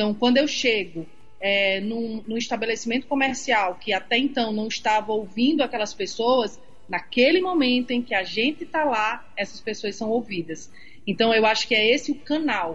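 A woman speaks at a fairly high pitch and a moderate pace. Her voice is somewhat breathy, with ordinary pitch variation. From Rio Grande do Norte, Seridó region. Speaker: journalist. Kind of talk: casual interview.

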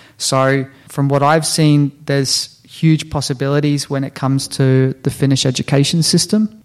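Fairly high in pitch, a man speaks at a moderate pace with an Australian accent and fairly even intonation. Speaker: health-tech startup founder. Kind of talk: interview.

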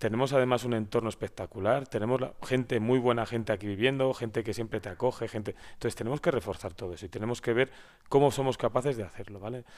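Very fast speech comes from a man with a medium pitch and fairly even intonation. The recording is very clean, with a silent background. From Spain, Valladolid (Castilla y León). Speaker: local politician, deputy mayor. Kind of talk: interview.

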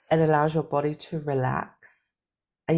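This is a woman speaking. She talks with a British accent. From Britain. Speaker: life coach and cancer survivor. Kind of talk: interview.

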